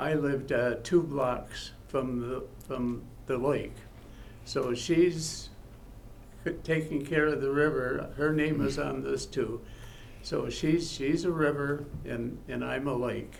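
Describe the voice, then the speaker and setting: A man with an American accent talks at a very slow pace, leaving long, frequent pauses. Audible room echo surrounds his voice. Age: 80s+. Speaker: honored local resident. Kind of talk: thank-you speech at public meeting. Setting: city council meeting. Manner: halting.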